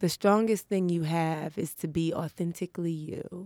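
Speaking in a New York accent, a woman with a fairly low pitch and a dark, mellow tone talks at a fairly slow pace with fairly even intonation, in a very clean recording with a silent background. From New York City, Harlem. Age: 30s. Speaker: comedian. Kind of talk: casual chat. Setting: studio.

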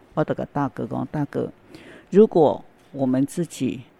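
At a fairly slow pace, the voice comes through with a dark, mellow tone and a dry, close sound with no echo. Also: woman. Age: 70s. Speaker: volunteer. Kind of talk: interview. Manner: halting.

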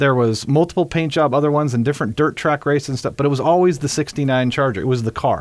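Very fast delivery with hardly any pauses and very even loudness. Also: man, fairly high pitch for a man, ordinary pitch variation. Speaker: vintage car restoration shop owner. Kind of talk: casual chat. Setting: studio.

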